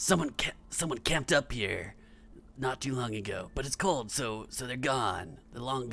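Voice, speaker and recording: In a raspy, put-on character voice, a man speaks at medium pitch and a moderate pace with lively intonation over clear background noise. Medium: actual play. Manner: raised voice.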